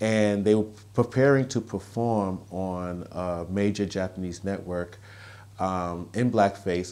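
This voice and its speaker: A man's dark, mellow tone with ordinary pitch variation. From US Northeast, Brooklyn, New York. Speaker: author and activist. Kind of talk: interview. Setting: outdoors. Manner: halting. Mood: earnest, measured. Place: home room. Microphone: lapel.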